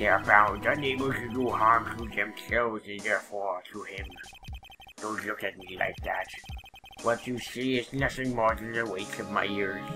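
Over clear background music, a man mumbles in a put-on character voice at a medium pitch and a moderate pace. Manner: troubled, confessional, grave.

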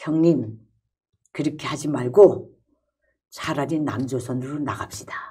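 Against a quiet background, a woman speaks fairly slowly in a dark, mellow tone. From North Korea. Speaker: former North Korean journalist, defector; former North Korean journalist. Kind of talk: casual chat; interview answer. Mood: earnest, recalling tense events. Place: meeting room.

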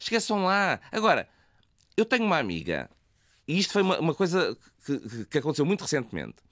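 A man speaks at a fairly quick pace with vocal fry. The recording is very clean and dry, close with no echo, over a silent background. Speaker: university professor and LGBT association president. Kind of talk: radio interview.

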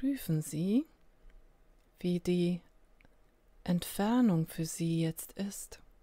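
In a calm, soothing, dark, mellow tone, a somewhat breathy woman with a fairly low pitch and ordinary pitch variation speaks at a very slow pace, with long, frequent pauses. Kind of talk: guided meditation. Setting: solo recording without music. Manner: slow, calm, soothing with long pauses; gentle, invitational.

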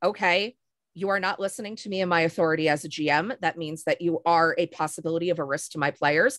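Against a quiet background, the voice moves with ordinary pitch variation. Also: woman. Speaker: LARP storyteller and game company co-founder; panelist. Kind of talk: panel discussion. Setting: video call. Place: home room. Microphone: video call.

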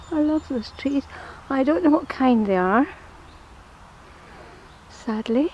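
Speaking at a very slow pace with long, frequent pauses, the voice has lively intonation and a dry sound with no echo over light background noise. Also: woman, high pitch for a woman. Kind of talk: casual walking vlog narration. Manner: slow, drawn-out. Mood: fond, admiring. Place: forest. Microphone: phone near.

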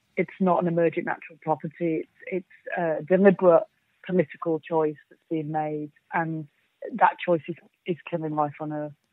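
Using monotone, flat intonation, a woman with a Yorkshire accent and a fairly low pitch speaks at a moderate pace, her loudness swinging widely. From Yorkshire, England. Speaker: climate activist. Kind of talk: interview.

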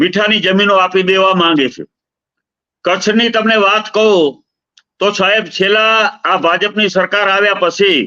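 A man speaks in a raised, projected voice with a high pitch. His tone is bright and sharp, and his pitch variation is ordinary. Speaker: politician and activist. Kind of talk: interview. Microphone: bad connection, audio cutting out.

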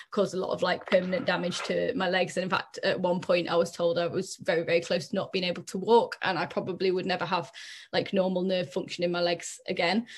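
A woman talks in a monotone, flat way. The background is quiet. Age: 30s. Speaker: mental health lived-experience speaker. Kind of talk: personal testimony. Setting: video call. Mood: earnest, reflective. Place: home room. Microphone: webcam.

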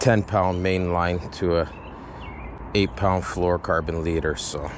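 The delivery is fairly slow. The sound is dry with no echo, though background noise is noticeable. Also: man. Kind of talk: casual fishing vlog commentary. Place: waterside. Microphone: phone near.

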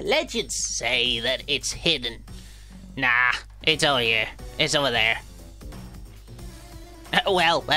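Clear music plays in the background behind a put-on character voice. The speaker leaves long, frequent pauses. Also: fairly slow pace. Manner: mock-dramatic, legend-telling.

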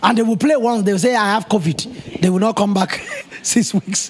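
Speaking at a fairly quick pace, a man uses a high pitch with ordinary pitch variation. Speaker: pastor preaching. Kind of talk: sermon. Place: church. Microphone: handheld.

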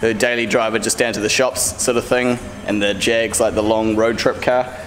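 The speech moves at a moderate pace with a monotone, flat intonation. Light background noise sits underneath. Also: man. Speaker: car audio installer vlogger. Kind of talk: casual vlog chat. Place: workshop. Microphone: phone near.

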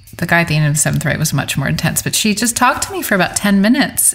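A woman with an American accent and a fairly low pitch, over noticeable background noise. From New York City. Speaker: songwriter. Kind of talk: casual interview.

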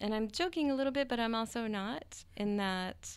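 A woman with an American accent has a plain, everyday voice, fairly high in pitch with lively intonation. She speaks at a fairly slow pace on a very clean recording with a silent background. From US South (West Virginia). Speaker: professor and conservationist. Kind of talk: interview. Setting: studio.

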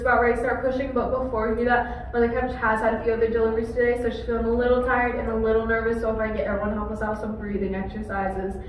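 A woman at a very fast pace, with monotone, flat intonation, audible room echo and light background noise. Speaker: presenter. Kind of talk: scripted show narration. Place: hall.

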